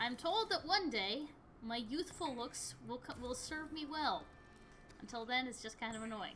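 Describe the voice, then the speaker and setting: Over noticeable background noise, a woman with an American accent speaks at a high pitch with lively intonation. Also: moderate pace. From US Midwest, Michigan. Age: 20s. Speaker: gaming streamer. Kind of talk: casual gameplay chat.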